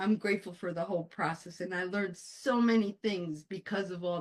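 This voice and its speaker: The speaker has a Spanish accent and talks at a fairly quick pace. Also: woman. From born in Colombia, raised in the US. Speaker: author and life coach, Air Force veteran. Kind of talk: interview. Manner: animated.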